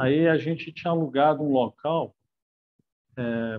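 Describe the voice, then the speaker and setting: A man with a fairly high pitch, speaking at a fairly slow pace with ordinary pitch variation. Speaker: friend of the deceased. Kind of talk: eulogy. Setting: video call. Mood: warm, nostalgic, somewhat sad. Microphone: earbuds.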